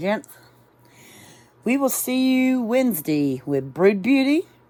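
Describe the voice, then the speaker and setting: Speaking at a very slow pace, a woman's voice swings very widely in pitch. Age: 60s. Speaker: beauty vlogger. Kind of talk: casual chat. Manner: casual, informal.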